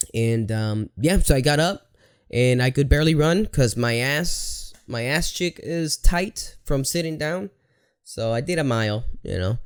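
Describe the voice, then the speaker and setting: On a very clean recording with a silent background, a man with a Spanish accent and fairly high pitch speaks at a fairly slow pace in an animated tone with lively intonation. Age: 30s. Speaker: podcaster. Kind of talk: casual monologue.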